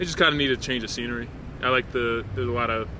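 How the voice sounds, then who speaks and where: A man speaks at a very fast pace with an American accent. Noticeable background noise and audible room echo fill the recording. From Philadelphia, US Northeast. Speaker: local resident interviewed on street. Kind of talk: casual street interview.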